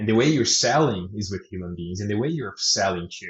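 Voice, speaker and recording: His voice is somewhat breathy. This man's pitch moves in an ordinary way. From Brazil. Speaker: product director. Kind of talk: interview answers.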